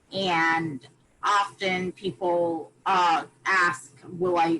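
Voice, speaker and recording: Her intonation stays fairly even. The woman has a fairly low pitch and an American accent. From USA. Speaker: volunteer speaker. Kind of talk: online presentation to students. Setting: video call.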